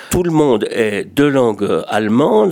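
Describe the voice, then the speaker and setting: With lively intonation, a man speaks at medium pitch in an unremarkable speaking voice. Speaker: retired radio journalist, association secretary general. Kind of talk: radio talk show discussion.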